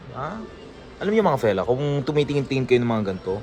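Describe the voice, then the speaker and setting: Music in the background behind a man's fairly quick speech. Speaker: vlogger. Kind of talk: casual vlog. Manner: animated.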